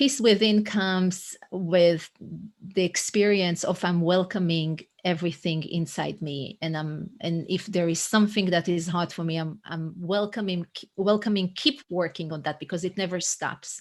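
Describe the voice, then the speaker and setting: With an Israeli accent, the speaker keeps a moderate pace and ordinary pitch variation. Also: woman, fairly low pitch for a woman. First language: Hebrew. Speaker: coach and author. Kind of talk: podcast interview. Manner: halting, frequent word repetitions.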